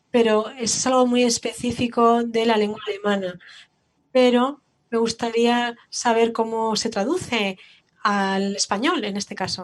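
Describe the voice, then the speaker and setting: A woman speaks at a fairly high pitch with fairly even intonation. Her pace is fairly slow. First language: German (speaking Spanish). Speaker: museum educator. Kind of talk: panel discussion.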